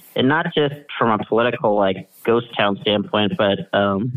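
Ordinary pitch variation in a Midwestern American accent. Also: man. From Kansas, US Midwest. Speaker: political writer and addictions counselor. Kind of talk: casual interview.

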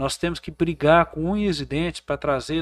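At a moderate pace, an unremarkable speaking voice comes through on a very clean recording with a silent background. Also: man. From Brazil, Goiás (Porangatu). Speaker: businessman and former mayoral candidate. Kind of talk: casual chat.

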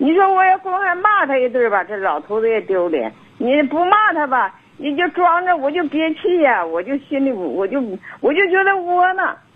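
Over noticeable background noise, a woman speaks at a moderate pace, her high pitch swinging very widely. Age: 60s. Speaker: caller. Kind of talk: phone-in advice call.

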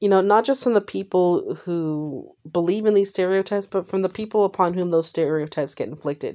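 The voice has a dark, mellow tone and a Californian accent, with ordinary pitch variation. It runs with hardly any pauses against a quiet background. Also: woman, medium pitch for a woman. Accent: Californian American. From California, San Jose. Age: 30s. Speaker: podcaster. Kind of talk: casual monologue. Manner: animated.

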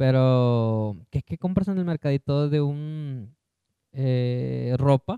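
At a very slow pace, a man with a medium pitch talks with ordinary pitch variation. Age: 20s. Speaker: podcast co-host. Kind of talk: casual chat.

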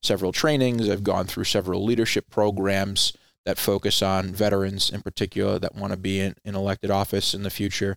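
With a Rhode Island accent, a man speaks fairly low and fairly quickly. His intonation stays fairly even. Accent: East Coast US, Rhode Island. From Rhode Island, US Northeast. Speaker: veteran nonprofit founder, former Air Force member. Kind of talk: interview, conversational.

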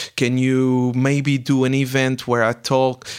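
This is a man speaking. He has a Portuguese accent. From Portugal. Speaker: startup mentor and entrepreneur. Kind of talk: interview.

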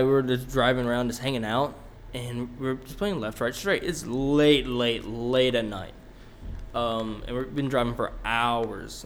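A man's fairly slow delivery carries audible echo from the room. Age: 20s. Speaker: podcast co-host. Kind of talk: casual storytelling. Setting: cold shed recording space. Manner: halting.

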